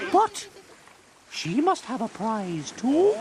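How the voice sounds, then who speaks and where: A man's put-on character voice climbs to an extremely high pitch, swinging very widely up and down. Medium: audio drama. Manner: shrill, excitable.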